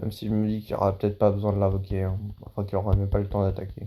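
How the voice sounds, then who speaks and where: A man talks at a very fast pace in a fairly low voice. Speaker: gaming YouTuber. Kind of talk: gameplay commentary. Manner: loud; animated.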